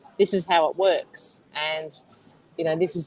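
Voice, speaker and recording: Heard in a dry, close sound with no echo, a woman with an Australian accent talks at a moderate pace and fairly low pitch with fairly even intonation. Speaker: medium. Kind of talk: casual chat.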